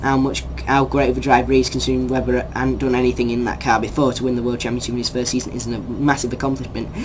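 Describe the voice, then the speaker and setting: An English accent at a very fast pace with hardly any pauses, set against noticeable background noise. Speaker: YouTuber discussing sports news. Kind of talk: opinion rant vlog. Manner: animated.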